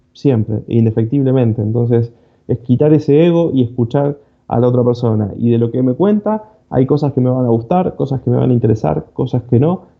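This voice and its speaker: A man with an Argentine accent talks at a fairly quick pace in a medium pitch. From Argentina. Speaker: cybersecurity speaker. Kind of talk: conference talk. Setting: online conference. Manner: fast.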